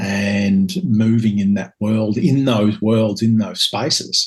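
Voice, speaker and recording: We hear a man. The intonation he uses is fairly even. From Scotland and Northern Ireland. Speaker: author and spiritual teacher. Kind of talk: podcast interview. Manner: hesitant, many fillers.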